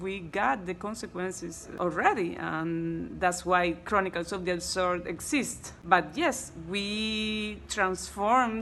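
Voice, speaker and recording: In a bright, sharp tone, a woman speaks at a very slow pace. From Cuba. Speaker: actress. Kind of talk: interview. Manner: halting.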